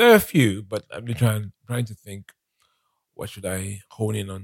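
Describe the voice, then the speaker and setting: A somewhat breathy voice comes through on a very clean recording with a silent background. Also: man, dry, close sound with no echo. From Nigeria. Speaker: business executive and author. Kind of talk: casual interview. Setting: studio.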